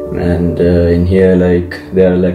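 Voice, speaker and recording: Against background music and audible room echo, a man with a very deep, low pitch speaks at a moderate pace in a monotone with flat intonation. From Sri Lanka. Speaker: exchange student. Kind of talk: interview.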